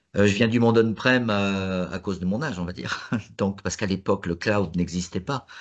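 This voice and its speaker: A man speaks at a fairly quick pace in a fairly low voice, with ordinary pitch variation against a quiet background. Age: 60s. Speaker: tech expert. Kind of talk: panel discussion. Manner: halting.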